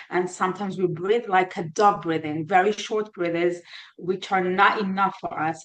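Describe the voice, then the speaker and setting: A woman's medium-pitched voice in an Israeli accent, with monotone, flat intonation. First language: Hebrew. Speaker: therapist. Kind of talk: interview. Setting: podcast. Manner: halting.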